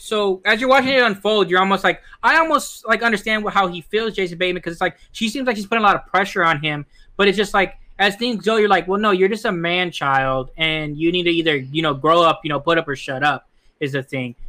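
A man's high-pitched, bright and sharp voice, raised and projected, with lively intonation at a very fast pace. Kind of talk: casual banter podcast.

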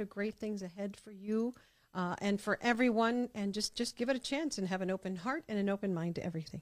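A woman speaking very fast with an American accent, medium in pitch, warm and upbeat in tone. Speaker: podcast host. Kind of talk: casual interview chat. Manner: warm, upbeat.

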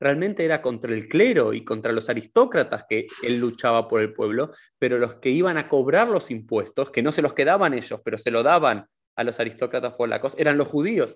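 A man talks with a Rioplatense accent. His pace is moderate and his pitch varies in an ordinary way. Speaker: podcast host. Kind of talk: interview.

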